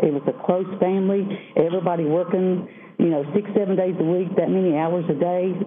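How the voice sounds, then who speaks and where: In an Appalachian accent, a woman speaks at a medium pitch. Audible room echo surrounds her voice. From Southwest Virginia. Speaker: miner's wife and advocate. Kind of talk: prepared speech.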